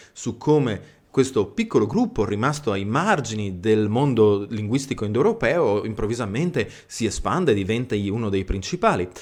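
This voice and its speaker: Lively intonation marks a man speaking at a medium pitch and moderate pace with a Friulian accent, in a very clean recording with a silent background. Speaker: history channel host, living history presenter. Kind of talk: educational history talk. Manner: hesitant with fillers and self-corrections.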